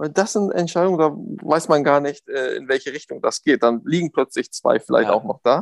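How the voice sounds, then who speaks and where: At a moderate pace, a man talks in a normal speaking voice with fairly high pitch and lively intonation, recorded dry and close with no echo. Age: 30s. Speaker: football referee. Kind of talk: interview. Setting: video call.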